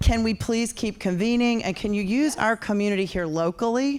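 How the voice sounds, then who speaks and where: A woman with an American accent and a fairly high pitch talks at a moderate pace with ordinary pitch variation, in a very clean recording with a silent background. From North Carolina. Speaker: audience member at tech event. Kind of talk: audience question.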